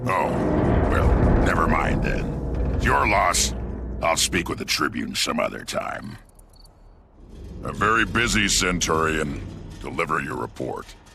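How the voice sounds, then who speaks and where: Over music in the background, a man puts on a character voice with a very deep, low pitch, talking at a moderate pace with long, frequent pauses. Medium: video game. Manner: self-assured, commanding.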